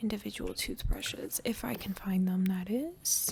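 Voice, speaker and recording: The speaker is soft-spoken with a calm tone and a moderate pace. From Canada. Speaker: gaming YouTuber. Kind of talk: casual gameplay commentary. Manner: soft-spoken, calm; quiet.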